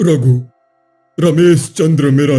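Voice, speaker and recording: A man's cartoonish character voice, fairly high in pitch, with faint music in the background. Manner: calm, measured, preachy.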